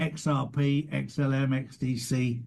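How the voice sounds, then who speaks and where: In an English accent, a man talks with a dark, mellow, somewhat breathy tone and ordinary pitch variation. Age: 60s. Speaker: podcast host. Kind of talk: casual interview chat.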